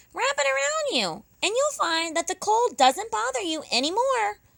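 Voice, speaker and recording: A woman speaks in a squeaky, put-on character voice at an extremely high pitch. Her pitch swings very widely at a moderate pace. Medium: read story. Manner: warm, helpful.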